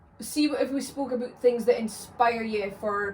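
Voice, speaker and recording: This woman has a Scottish accent and a fairly high pitch. She talks at a fairly slow pace with fairly even intonation. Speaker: podcast host. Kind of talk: casual chat.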